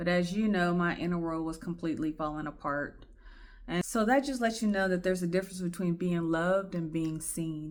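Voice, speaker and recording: This woman speaks at a fairly quick pace. Her pitch is fairly low, with ordinary pitch variation. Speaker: podcast host sharing personal story. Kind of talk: personal testimony monologue. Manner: shaky, emotional.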